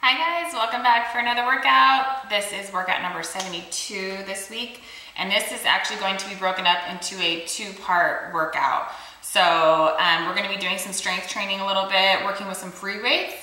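Heard with audible room echo, a woman speaks at a moderate pace with ordinary pitch variation and big swings in loudness. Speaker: fitness instructor. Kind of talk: workout intro chat. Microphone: phone near.

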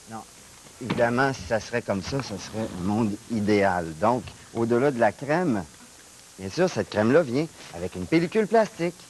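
Lively intonation marks this man's speech at a moderate pace, with long, frequent pauses. Light background noise is present. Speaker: guest. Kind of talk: comic mock demonstration. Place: studio. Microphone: lapel.

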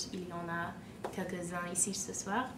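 Noticeable background noise surrounds the recording. A woman talks at a very slow pace. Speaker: student association member. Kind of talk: announcement. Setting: university event with audience. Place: meeting room. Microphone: camera far.

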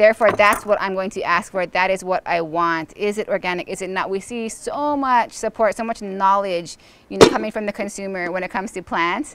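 Loud background noise surrounds a woman whose pitch varies in an ordinary way, the sound dry with no echo. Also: fairly quick pace, hardly any pauses. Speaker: host talking with a chef. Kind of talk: casual conversation. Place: garden.

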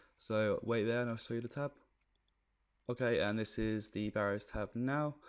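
On a very clean recording with a silent background, a man with a British accent speaks quietly at a moderate pace with fairly even intonation. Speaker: gaming video creator. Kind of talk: gameplay commentary. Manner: quiet, subdued.

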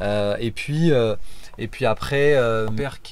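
A man talking at a fairly slow pace. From France, Auvergne (Clermont-Ferrand); Auvergne, France. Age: 30s. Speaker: motorcycle travel guide. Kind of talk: interview. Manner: hesitant, many fillers. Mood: calm, reflective. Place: car. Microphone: phone near.

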